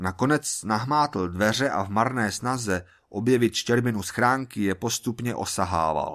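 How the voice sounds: The speaker uses a natural reading voice, and the pitch varies in an ordinary way.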